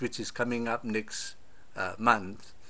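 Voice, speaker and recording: A man speaks very slowly. His tone is bright and sharp. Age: 70s. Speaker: political commentator. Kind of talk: video monologue. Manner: hesitant, with frequent uh.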